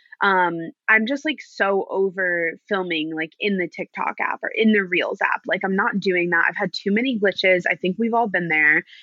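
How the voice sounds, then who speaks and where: In a normal speaking voice, a woman talks at a moderate pace with hardly any pauses, a medium pitch, and ordinary pitch variation. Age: 20s. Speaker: chronic illness advocate and content creator. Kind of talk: casual chat.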